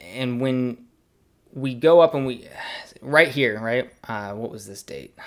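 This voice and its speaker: Big swings in loudness mark this man's delivery at a fairly slow pace. His pitch sits at a medium level with ordinary variation. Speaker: crypto metrics analyst, video creator. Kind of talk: screen-share tutorial. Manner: hesitant, many fillers and repeats. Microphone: new microphone.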